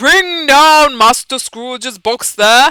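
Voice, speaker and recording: In a put-on character voice, a high, female-sounding voice shouts at a very slow pace. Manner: shouting, commanding.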